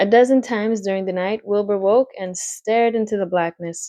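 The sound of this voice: Quiet surroundings and an unforced reading voice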